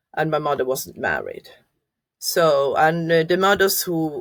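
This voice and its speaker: Speaking very slowly in a Norwegian accent, a woman uses a fairly low pitch. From Norway. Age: 50s. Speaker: adoptee sharing life story. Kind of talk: interview testimony. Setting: podcast interview. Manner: halting, many fillers.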